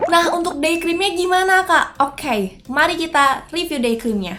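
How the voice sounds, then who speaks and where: A woman talks with music in the background. Her tone is upbeat, with very wide pitch swings at a moderate pace. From Indonesia. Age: 20s. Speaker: beauty vlogger. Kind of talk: casual talk to camera.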